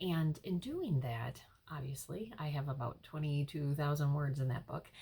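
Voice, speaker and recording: A woman with a very deep, low pitch speaks at a moderate pace in a dark, mellow tone that is somewhat breathy. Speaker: life coach and hypnotherapist. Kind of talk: casual vlog talk. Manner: hesitant, many fillers.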